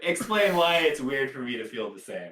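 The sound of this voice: A man at medium pitch with a bright, sharp tone, big pitch swings and a moderate pace.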